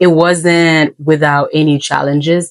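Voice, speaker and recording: A woman speaks in a Haitian accent with a very deep, low pitch. The sound is dry and close, with no echo. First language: Haitian Creole. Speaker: English teacher. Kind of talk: casual talk to camera.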